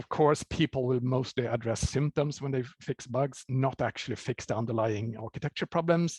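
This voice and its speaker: Against a quiet background, a man with an unremarkable speaking voice talks at a moderate pace and medium pitch, the sound dry and close with no echo. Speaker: software developer. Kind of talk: conference talk.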